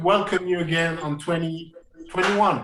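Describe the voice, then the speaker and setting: Over noticeable background noise and audible room echo, a man with a high pitch talks at a moderate pace. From France. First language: French. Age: 30s. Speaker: jazz pianist and educator. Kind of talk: interview. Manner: halting, many repetitions.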